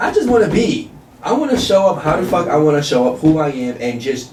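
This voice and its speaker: A man talks at a fairly quick pace. Audible room echo and noticeable background noise sit around his voice. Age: young. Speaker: podcast co-host. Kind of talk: casual chat. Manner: animated.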